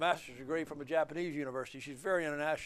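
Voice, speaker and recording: Speaking very fast with an Alabama accent, a man keeps a fairly high pitch and fairly even intonation against a quiet background. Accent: Southern US (Alabama). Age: 70s. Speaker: attorney and author. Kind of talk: interview. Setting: filmed at a museum. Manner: halting, with fillers.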